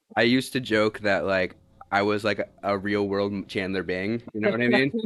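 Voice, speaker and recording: In a normal speaking voice, a man with an American accent talks at a moderate pace, his pitch fairly low and his intonation fairly even. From Oklahoma, Tulsa. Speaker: army national guard soldier. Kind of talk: interview.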